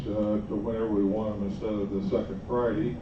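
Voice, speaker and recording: The speaker is a man with an American accent. He talks at a moderate pace, and room echo is audible. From southern Indiana, US Midwest. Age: 70s. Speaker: flying club volunteer coordinator. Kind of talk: informal talk to a group.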